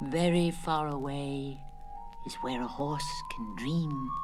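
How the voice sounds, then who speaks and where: A put-on character voice at low-to-middle pitch speaks at a fairly slow pace over loud background noise. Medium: read story. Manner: slow, sleepy.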